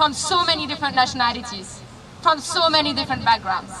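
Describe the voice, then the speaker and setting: A woman with a French accent speaks in a raised, projected voice at a high pitch and a fairly quick pace. Her intonation is lively, and there is noticeable background noise. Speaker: activist, protest organizer. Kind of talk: rally speech. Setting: outdoors at a rally.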